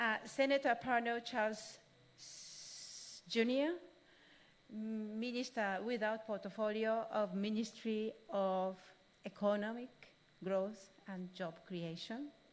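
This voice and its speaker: With a Japanese accent, a woman speaks very slowly at a fairly high pitch, using ordinary pitch variation and big swings in loudness. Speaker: UN official. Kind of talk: formal speech. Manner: halting.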